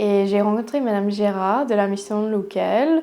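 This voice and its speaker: A woman with a dark, mellow tone speaks at a medium pitch. She keeps a fairly slow pace with ordinary pitch variation. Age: 20s. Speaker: podiatrist. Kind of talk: testimony. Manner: halting, many hesitations.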